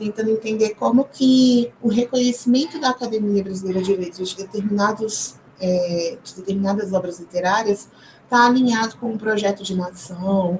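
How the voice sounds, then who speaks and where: A woman at a medium pitch keeps a moderate pace, her pitch varying in an ordinary way, while noticeable background noise sits behind her. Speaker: history PhD student and teacher giving a short course. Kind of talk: lecture.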